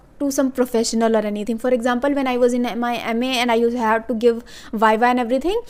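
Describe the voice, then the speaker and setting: Quick-paced and high-pitched, a woman speaks with an Indian accent. Her pace is fairly quick. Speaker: YouTuber, English learning tips. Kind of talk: casual tutorial. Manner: fast; hesitant, many fillers.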